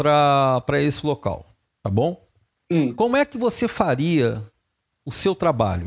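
Talking at a fairly slow pace, a man has a plain, everyday voice with a fairly high pitch. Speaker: podcast host. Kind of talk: interview.

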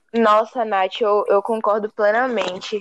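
A plain, everyday voice speaks at a fairly slow pace, with a dry, close sound with no echo. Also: woman. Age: young. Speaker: university student. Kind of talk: casual chat.

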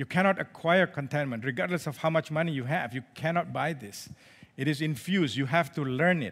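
A man with an unremarkable speaking voice and ordinary pitch variation is heard on a very clean recording with a silent background. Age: 50s. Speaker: lay preacher. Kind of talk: sermon. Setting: church service.

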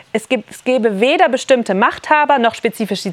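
Noticeable background noise sits behind a woman's voice. She speaks with a fairly high pitch and lively intonation. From Berlin. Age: 30s. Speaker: economist and activist speaker. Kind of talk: workshop talk. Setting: summer camp workshop with audience. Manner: halting.

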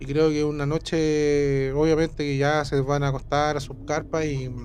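Over noticeable background noise, a man with a fairly high pitch and a Chilean accent speaks at a moderate pace. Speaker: podcast co-host. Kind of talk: casual chat.

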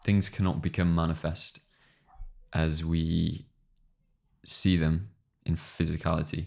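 A man with an English accent speaks at a fairly slow pace in a very deep, low voice, with fairly even intonation, very even loudness, and long, frequent pauses. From England. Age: 20s. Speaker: podcast co-host. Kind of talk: casual chat.

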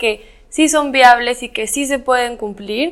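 Her pitch is high for a woman. Her intonation stays fairly even. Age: young. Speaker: university student. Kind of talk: interview.

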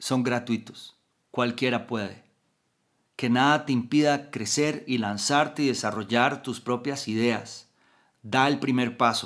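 A man with a Costa Rican accent speaks at a very slow pace and medium pitch, with fairly even intonation. The recording is very clean, with a silent background. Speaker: motivational podcaster. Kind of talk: motivational talk.

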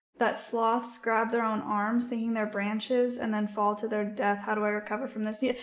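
Her delivery is fairly quick. The woman's voice carries audible room echo. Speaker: livestreamer. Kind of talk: casual chat.

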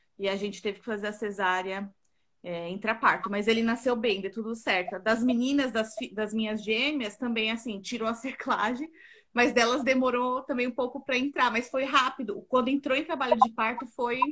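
With ordinary pitch variation, a woman's fairly high voice moves along at a moderate pace. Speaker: pregnant woman asking a question. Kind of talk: live Q&A conversation. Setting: video call on a live stream.

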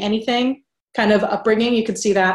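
Her intonation fairly even, a woman talks in an ordinary speaking voice. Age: 30s. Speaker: business coach. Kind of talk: interview.

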